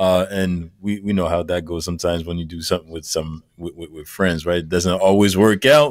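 Hardly pausing, a man with a very deep, low voice talks at a fairly quick pace with ordinary pitch variation on a very clean recording with a silent background. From Montreal, Quebec. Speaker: music producer. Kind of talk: interview on live stream.

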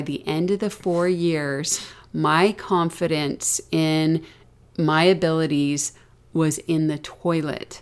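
A woman speaks in a normal speaking voice with an American accent, her pitch fairly low. The recording is very clean, with a silent background. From US South. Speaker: podcast co-host and parent. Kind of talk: casual conversational podcast discussion.

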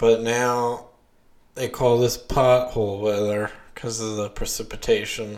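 A man's medium-pitched, monotone, flat voice with an American accent. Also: fairly slow pace. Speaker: podcast host. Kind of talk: casual chat. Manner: filler-heavy, hesitant.

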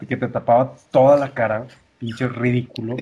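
At a moderate pace, a man speaks in a medium pitch. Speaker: podcast co-host. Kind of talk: casual chat. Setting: home kitchen.

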